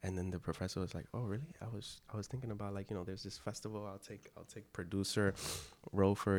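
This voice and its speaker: With fairly even intonation and an American accent, the speaker goes at a very fast pace. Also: man. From US-born, Dominican parents. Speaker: actor and filmmaker. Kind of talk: casual chat.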